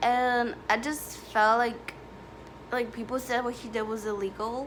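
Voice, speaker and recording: A woman speaks with a non-native accent. Audible room echo surrounds her voice. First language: not English. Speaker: YouTuber. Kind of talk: storytime vlog. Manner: casual, filler-heavy.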